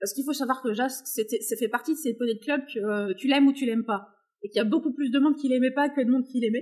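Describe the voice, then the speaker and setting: A woman with a high pitch speaks at a very fast pace with ordinary pitch variation. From France, countryside. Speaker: equine behaviourist and horse owner. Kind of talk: casual interview chat.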